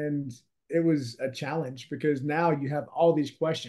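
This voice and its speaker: Moderate pace and a dark, mellow tone from a male speaker. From Louisiana. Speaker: real estate investor and author. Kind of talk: interview.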